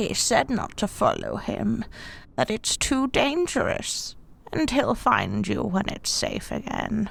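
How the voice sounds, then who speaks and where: A woman uses a put-on character voice pitched fairly high. She speaks at a fairly slow pace. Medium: audio drama. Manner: honeyed, ingratiating.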